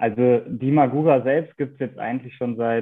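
A man's voice sits at a medium pitch, with fairly even intonation. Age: 20s. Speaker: PR and content manager at a bike parts maker. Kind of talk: interview.

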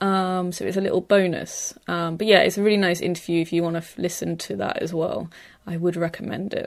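Fairly quick and fairly low in pitch, a woman talks in a normal speaking voice with fairly even intonation. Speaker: radio host interviewing artists. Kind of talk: casual interview. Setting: recorded in gallery back room.

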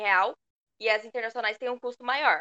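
A woman talks in a high pitch with a bright, sharp tone. The sound is dry and close, with no echo. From Pindamonhangaba, São Paulo state, Brazil. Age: 20s. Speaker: university student. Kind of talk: casual interview.

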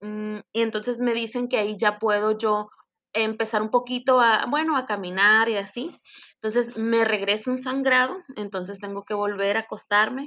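Her fairly high voice has a bright, sharp tone as the woman speaks at a moderate pace with fairly even intonation. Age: 30s. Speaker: bereaved mother sharing her story. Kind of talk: testimony.

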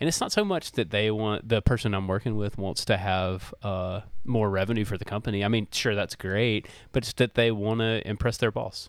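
With a Southern US accent, a man speaks at a fairly quick pace. His pitch is fairly low and his intonation fairly even. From Mississippi, US South. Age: 30s. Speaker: recording studio owner and podcast producer. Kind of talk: casual interview chat. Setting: video call.

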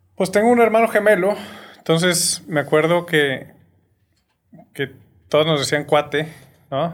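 A high-pitched man at a fairly slow pace, with long, frequent pauses. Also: ordinary pitch variation. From Torreón, Coahuila, northern Mexico. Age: 40s. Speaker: film producer and social entrepreneur. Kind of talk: casual chat.

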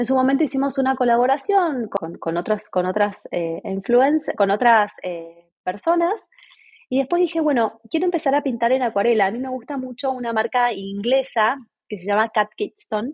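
With a high voice, a woman lets her pitch swing very widely. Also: moderate pace. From Argentina. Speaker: entrepreneur and decorator. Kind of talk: interview.

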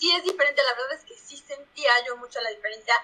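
A woman talks at a very fast pace in a central Mexican accent, her voice raised and projected. Her pitch is high and her tone bright and sharp. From Mexico, Puebla. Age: 20s. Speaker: product manager. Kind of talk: casual interview.

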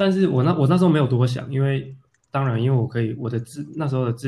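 Somewhat breathy and dark, mellow in tone, a man speaks at a fairly quick pace in a medium pitch. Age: 30s. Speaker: photographer and theatre director. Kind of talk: casual interview. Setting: remote call with earphones.

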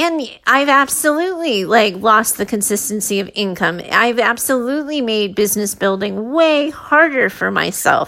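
A woman in a normal speaking voice talks at a moderate pace with lively intonation, a fairly high pitch and hardly any pauses. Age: 40s. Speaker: podcast host, mindset and leadership coach. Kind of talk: solo podcast monologue.

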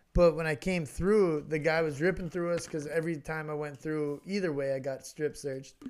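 With hardly any pauses, a man talks at a fairly quick pace in a fairly high voice and fairly even intonation. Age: 30s. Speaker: podcast co-host. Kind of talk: casual chat. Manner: loud.

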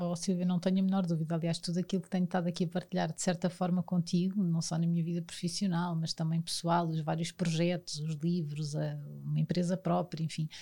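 Speaking in a European Portuguese accent, a woman has a dark, mellow, somewhat breathy tone at a fairly low pitch. She talks at a fairly quick pace with hardly any pauses. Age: 40s. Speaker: sports federation commercial director. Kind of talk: interview. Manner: animated.

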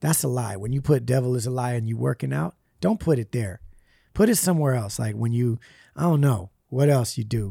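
A man speaks at a fairly quick pace with a dark, mellow tone, lively intonation and a somewhat breathy voice, on a very clean recording with a silent background. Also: medium pitch for a man, dry, close sound with no echo. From US West Coast, Puerto Rican family. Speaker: rapper. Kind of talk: casual chat.

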